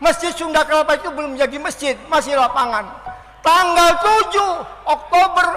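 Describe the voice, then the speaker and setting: With noticeable background noise behind him, a man uses a raised, projected voice at an extremely high pitch with ordinary pitch variation. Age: 70s. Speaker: elderly activist giving testimony. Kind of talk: speech to an audience.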